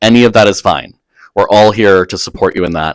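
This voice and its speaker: Very clean recording, silent background. A man speaks fairly quickly in a fairly low voice with ordinary pitch variation. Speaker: associate dean of undergraduate education. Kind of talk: recorded orientation talk. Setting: recorded video. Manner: fast; animated.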